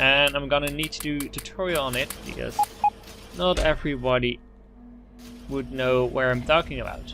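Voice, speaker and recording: Long, frequent pauses at a moderate pace, with music in the background. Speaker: gaming video creator. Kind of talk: let's play gameplay commentary. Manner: halting, many fillers.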